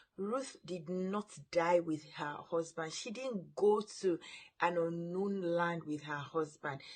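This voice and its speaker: Very slow in pace, a woman speaks with a fairly low pitch. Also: ordinary pitch variation. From Nigeria (Yoruba). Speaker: parenting coach. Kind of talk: vlog talk to camera.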